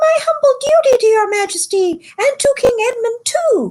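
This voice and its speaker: Using a put-on character voice, a woman squeaks at an extremely high, shrill pitch and a moderate pace. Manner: gallant, flourishing.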